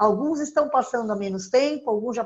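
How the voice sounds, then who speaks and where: A woman's high-pitched voice, showing ordinary pitch variation, comes over a quiet background. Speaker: nutritionist giving diet tips. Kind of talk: live-stream talk with viewer Q&A.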